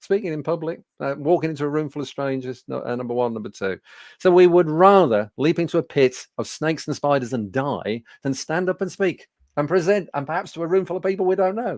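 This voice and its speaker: This man talks at a fairly quick pace with a Birmingham accent, his fairly high voice carrying lively intonation. The background is quiet and the sound is dry and close with no echo. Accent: Birmingham (Brummie) English. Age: 60s. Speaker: business speaking coach. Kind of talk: webinar presentation. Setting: studio. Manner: conversational with frequent fillers.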